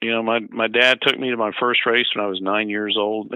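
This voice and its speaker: Fairly quick in pace, a man speaks in a normal speaking voice at a medium pitch. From US South, Georgia (Atlanta area). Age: 60s. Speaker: retired raceway president. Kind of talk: radio interview. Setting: phone call.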